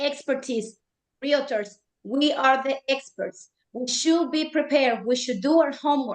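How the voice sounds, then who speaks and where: A woman's high-pitched voice with ordinary pitch variation at a fairly slow pace. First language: not English. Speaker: real estate agent. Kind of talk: panel discussion. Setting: live stream panel.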